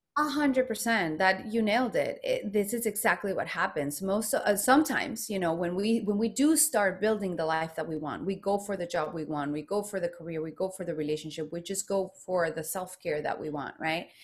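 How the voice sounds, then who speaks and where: A woman with a Spanish accent, medium pitch and lively intonation, at a fairly quick pace with hardly any pauses. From Mexico, Guadalajara. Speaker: self-expression coach. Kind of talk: interview. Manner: animated.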